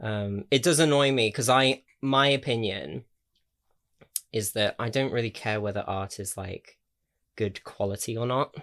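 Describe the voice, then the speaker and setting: A man with an English accent, fairly slow pace and ordinary pitch variation, on a very clean recording with a silent background. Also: medium pitch for a man. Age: 20s. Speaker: YouTuber. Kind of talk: casual chat. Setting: home, in own room. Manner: hesitant, many fillers.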